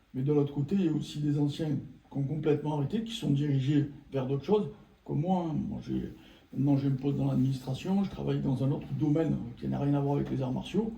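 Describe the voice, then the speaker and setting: Amid audible room echo, a man talks at a very fast pace with a fairly high pitch and ordinary pitch variation. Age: 60s. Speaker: former martial arts practitioner. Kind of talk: casual chat.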